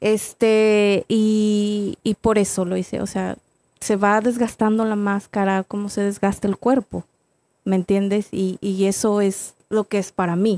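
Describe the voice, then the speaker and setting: On a very clean recording with a silent background, a woman speaks at medium pitch in a dark, mellow tone with monotone, flat intonation. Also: fairly slow pace, dry, close sound with no echo. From Mexico, San Luis Potosí (Salinas). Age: 30s. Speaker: professional wrestler. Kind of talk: casual interview.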